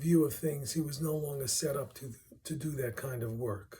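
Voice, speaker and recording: In a Brooklyn accent, a man speaks at a moderate pace with a fairly high pitch. His tone is dark and mellow, and somewhat breathy. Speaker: music researcher presenting a paper. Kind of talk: reading a prepared paper aloud.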